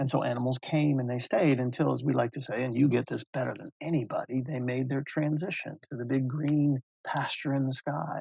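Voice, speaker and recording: At a fairly quick pace and with hardly any pauses, a man talks at a medium pitch in a monotone, flat intonation. His voice is somewhat breathy, and the sound is dry and close with no echo. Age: 60s. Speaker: mental health advocate and speaker. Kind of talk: interview testimony.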